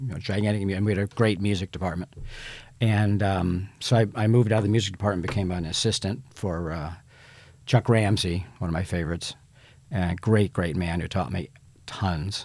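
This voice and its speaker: A man with a plain, everyday voice speaks at a fairly quick pace in a fairly low pitch with fairly even intonation, in a very clean recording with a silent background. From Virginia, Hampton Roads area. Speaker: talent agency executive. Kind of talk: casual chat. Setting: studio.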